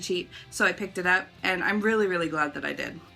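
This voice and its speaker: With music in the background, a woman talks at a fairly quick pace and ordinary pitch variation. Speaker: book reviewer. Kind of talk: casual talk to camera.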